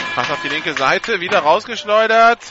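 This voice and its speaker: A man speaks over noticeable background noise. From northern Germany. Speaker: play-by-play radio commentator. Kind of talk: live sports commentary.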